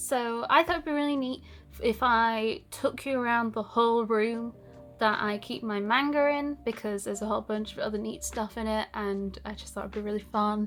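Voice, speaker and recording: A woman's fairly high voice at a moderate pace, with ordinary pitch variation and music in the background. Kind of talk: casual talk to camera.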